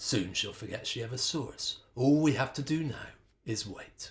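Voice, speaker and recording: Using a put-on character voice, a man sounds gravelly at a medium pitch and a moderate pace. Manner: whispering.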